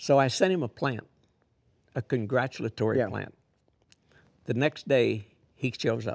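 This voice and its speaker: There is vocal fry in this man's medium-pitched voice. He uses ordinary pitch variation and takes long, frequent pauses. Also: moderate pace, dry, close sound with no echo. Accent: American. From Missouri, US Midwest. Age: 80s+. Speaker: horse trainer. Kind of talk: casual interview chat.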